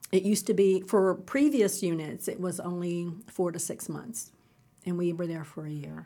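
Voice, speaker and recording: A woman's dark, mellow voice at a fairly low pitch, with big swings in loudness, ordinary pitch variation and a moderate pace. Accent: American. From Kentucky (Falmouth, rural). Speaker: retired army officer. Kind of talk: interview.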